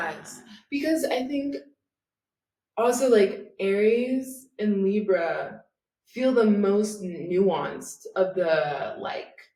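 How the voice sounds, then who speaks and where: The pace is very slow, with very wide pitch swings and big swings in loudness. Audible room echo surrounds the voice. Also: woman, medium pitch for a woman. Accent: American. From US South. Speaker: podcast co-host. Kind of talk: casual chat. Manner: casual, filler-heavy.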